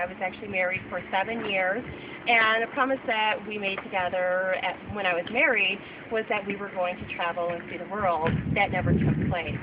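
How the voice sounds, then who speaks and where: A woman speaks at a medium pitch and a moderate pace with fairly even intonation. Background noise is noticeable. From Southwestern Michigan, USA. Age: 30s. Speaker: event coordinator. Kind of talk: casting video talk to camera.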